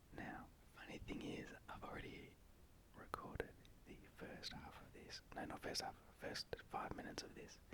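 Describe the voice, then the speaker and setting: Whispering in a relaxed tone, a man keeps a moderate pace broken by long, frequent pauses. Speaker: ASMR creator. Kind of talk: ASMR whisper video while building Lego. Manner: whispered, relaxed, casual.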